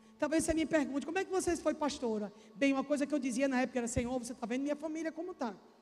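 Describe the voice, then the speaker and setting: A high-pitched woman talks at a very fast pace in an animated tone with ordinary pitch variation, over noticeable background noise. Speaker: pastor. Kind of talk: sermon.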